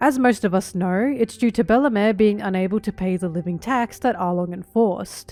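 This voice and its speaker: A woman at medium pitch, fairly quick pace and ordinary pitch variation, with music in the background. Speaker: anime video essayist. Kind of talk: video essay narration.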